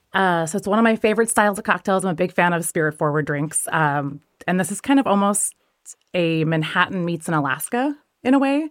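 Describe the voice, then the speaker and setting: Speaking with an American accent in a normal speaking voice, the speaker moves at a fairly quick pace with lively intonation. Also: woman, medium pitch for a woman. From US Pacific Northwest. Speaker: bartender and spirits judge. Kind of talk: casual interview chat.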